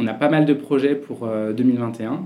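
Fairly even intonation from a man with a medium-pitched voice. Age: 30s. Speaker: CEO of a digital consulting agency. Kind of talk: interview.

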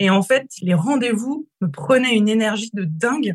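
The somewhat breathy voice moves at a moderate pace with lively intonation, sounding dry and close with no echo. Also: woman. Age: 30s. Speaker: business coach. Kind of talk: interview.

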